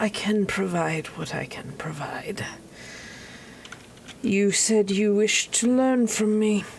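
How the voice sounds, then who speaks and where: In a put-on character voice, the speaker goes at a fairly slow pace with long, frequent pauses over light background noise. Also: woman, medium pitch for a woman. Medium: actual play. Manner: formal, measured.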